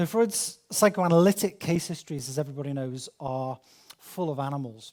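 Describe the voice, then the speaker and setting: There is lively intonation from a man with a Liverpool accent and fairly high pitch. He talks at a fairly quick pace, on a very clean recording with a silent background. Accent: Scouse. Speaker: academic speaker. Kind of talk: lecture. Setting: conference with audience.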